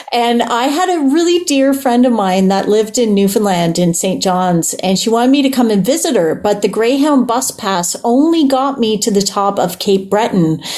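With a Canadian accent, a woman talks in a fairly high voice with lively intonation and hardly any pauses. Her loudness stays very even over noticeable background noise. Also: moderate pace. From Ontario, Toronto Island. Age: 40s. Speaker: musician. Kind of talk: casual interview. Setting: video call.

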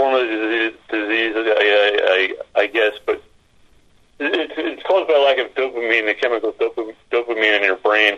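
A bright, sharp tone comes at a moderate pace. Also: man, fairly low pitch for a man, ordinary pitch variation.

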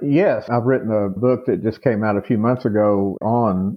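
A man talks at a fairly slow pace with a fairly low pitch. His pitch variation is ordinary. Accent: Texan. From Texas, Amarillo. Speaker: author and historian. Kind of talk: interview.

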